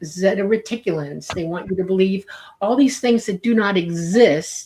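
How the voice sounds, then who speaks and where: A woman speaks at a moderate pace and a medium pitch. She has an ordinary speaking voice with ordinary pitch variation. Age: 60s. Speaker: UFO commentator. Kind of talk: interview.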